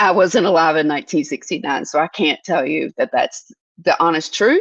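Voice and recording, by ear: With vocal fry and a slightly husky edge, the speaker talks at a moderate pace with lively intonation in a dry, close sound with no echo. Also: woman, low pitch for a woman.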